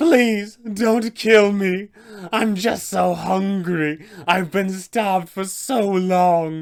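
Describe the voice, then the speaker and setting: A man's high-pitched put-on character voice at a very slow pace. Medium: tutorial demo. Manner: pleading.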